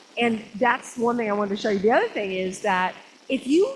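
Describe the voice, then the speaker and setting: A woman talks at a fairly quick pace in an animated tone. Noticeable background noise runs underneath. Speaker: photography club leader. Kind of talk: club meeting announcements.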